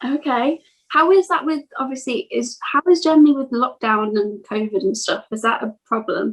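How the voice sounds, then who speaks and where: Her voice is high-pitched, with a slight Birmingham accent. The woman keeps a moderate pace and lively intonation. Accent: slight Brummie. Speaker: music podcast interviewer. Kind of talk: casual interview.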